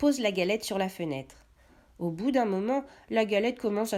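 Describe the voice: Plain, read-aloud speech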